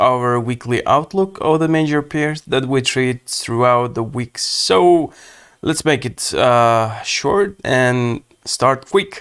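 Here a man talks very slowly with ordinary pitch variation. The recording is very clean, with a silent background. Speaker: forex trading educator. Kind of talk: trading analysis video commentary. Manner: filler-heavy, hesitant, repeats words.

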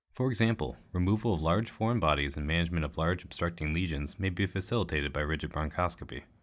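In a very clean recording with a silent background, a man talks at a very fast pace in a very deep, low pitch, with lively intonation and vocal fry. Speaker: medical educator narrating a training module. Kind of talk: scripted narration. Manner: formal.

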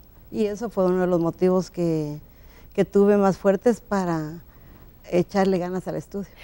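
At a moderate pace, a woman speaks in a dark, mellow tone at a medium pitch with fairly even intonation. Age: 60s. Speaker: law graduate; interview guest. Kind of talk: TV interview. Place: studio. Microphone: lapel.

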